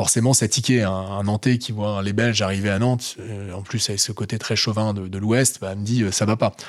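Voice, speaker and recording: With fairly even intonation and a moderate pace, a man talks in a normal speaking voice on a very clean recording with a silent background. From northern France, Lille area. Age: 30s. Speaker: entrepreneur, co-founder. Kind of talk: interview.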